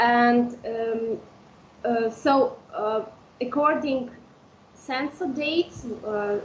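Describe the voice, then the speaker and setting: A woman speaks very slowly in an Udmurtia accent with a high pitch and ordinary pitch variation. Noticeable background noise is audible. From Udmurtia, Russia (village). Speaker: language teacher. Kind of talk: interview. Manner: halting, many fillers.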